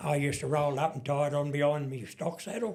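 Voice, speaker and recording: With an Australian accent, a man speaks at a fairly quick pace in a fairly high voice. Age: 70s. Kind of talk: podcast interview answer.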